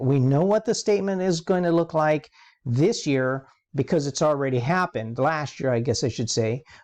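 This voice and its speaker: Over a quiet background, a man with a plain, everyday voice talks at a moderate pace with lively intonation. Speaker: accounting professor. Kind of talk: lecture.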